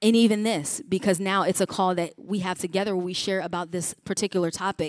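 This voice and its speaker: Fairly quick and fairly even in intonation, a woman speaks in an ordinary speaking voice at medium pitch with an American accent, the recording very clean with a silent background and a dry, close sound with no echo. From Chicago region, US Midwest. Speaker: pastor and mental health speaker. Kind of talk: conference talk. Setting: conference breakout room with audience.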